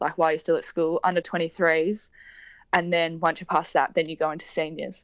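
Speaking in an Australian accent, a woman uses a fairly low pitch. Her intonation is monotone and flat, at a moderate pace. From rural Victoria, Australia. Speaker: Olympic rower. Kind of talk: interview. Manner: casual, many fillers.

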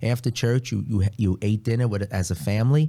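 With a New York accent, a man talks at a fairly quick pace in a somewhat breathy voice with a dark, mellow tone, recorded very cleanly against a silent background. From New York City (Queens). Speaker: priest. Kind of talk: casual chat.

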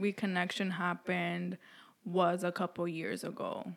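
A woman with a New York accent speaks in a bright, sharp tone, recorded very cleanly against a silent background. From New York City. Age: 20s. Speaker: podcast co-host. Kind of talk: casual chat.

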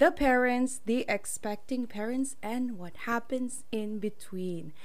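A woman speaks at a fairly slow pace with a fairly high pitch and lively intonation. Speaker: podcast host. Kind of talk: casual podcast interview. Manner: animated, excited.

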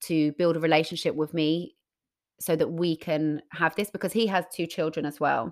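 A plain, everyday voice at a moderate pace with ordinary pitch variation, on a very clean recording with a silent background. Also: woman. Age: 30s. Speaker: podcast co-host. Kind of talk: casual chat.

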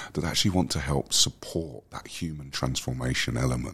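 Noticeable background noise runs under speech whose pitch varies an ordinary amount. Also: man. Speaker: wellbeing company director. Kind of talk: casual interview chat. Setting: conference event.

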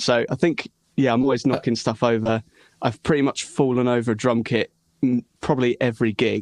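A man with an ordinary speaking voice talks at a fairly quick pace and a medium pitch, with fairly even intonation and very even loudness. The sound is dry and close with no echo. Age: young. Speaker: rock musician and singer. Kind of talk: casual interview chat.

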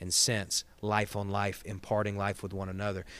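In a Southern US accent, a man talks with a fairly low pitch. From Georgia, US South (Gainesville). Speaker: associate pastor. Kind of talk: casual chat.

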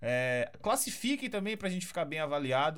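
The pace of this man's speech is fairly quick. His pitch moves in very wide swings. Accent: Brazilian. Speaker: podcast host. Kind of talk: casual chat.

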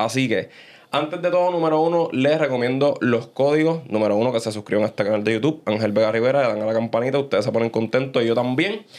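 A man speaks at a very fast pace. His loudness stays very even. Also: medium pitch for a man, ordinary pitch variation. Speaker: podcast host. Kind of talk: casual chat. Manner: animated.

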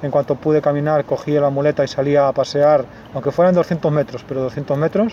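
A man speaks at a fairly quick pace with fairly high pitch and fairly even intonation over noticeable background noise. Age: 30s. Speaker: patient with multiple sclerosis. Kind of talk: personal testimony interview.

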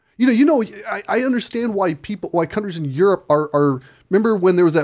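An American accent carries a fairly quick pace and lively intonation. The recording is very clean, with a silent background. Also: man. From Chicago. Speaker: podcast co-host. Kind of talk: casual chat. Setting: studio.

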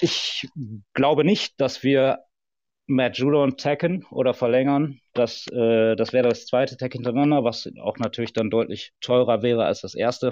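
A normal speaking voice at a moderate pace with ordinary pitch variation. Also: man. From Ruhr area, Germany. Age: 30s. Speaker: football fan guest. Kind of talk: casual chat.

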